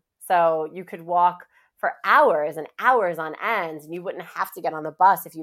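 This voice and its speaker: A woman with a New York accent and a fairly low pitch. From Queens, New York City. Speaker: advertising revenue executive. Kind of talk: casual interview chat. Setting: remote recording from home. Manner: animated, enthusiastic.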